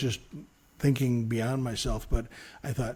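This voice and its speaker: A man with an American accent speaks at a medium pitch with fairly even intonation. His voice is somewhat breathy, with a dark, mellow tone. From Chicago, South Side. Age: 60s. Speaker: radio news reporter. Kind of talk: interview. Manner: halting.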